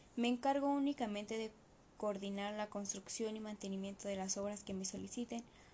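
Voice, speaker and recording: A fairly high-pitched woman's voice against noticeable background noise. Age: 20s. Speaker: civil engineer. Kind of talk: reading aloud. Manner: formal.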